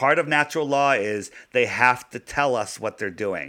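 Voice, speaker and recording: A man's bright, sharp voice at a medium pitch and moderate pace, with ordinary pitch variation, in a very clean recording with a silent background. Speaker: flat earth advocate, former podcaster. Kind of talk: interview on a podcast.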